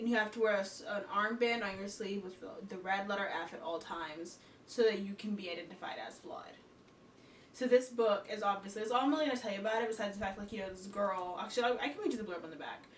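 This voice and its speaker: Noticeable background noise and audible room echo surround this recording. A woman talks at a very fast pace with ordinary pitch variation. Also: medium pitch for a woman, big swings in loudness. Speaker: book vlogger. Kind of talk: casual book review vlog. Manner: animated, talks with hands.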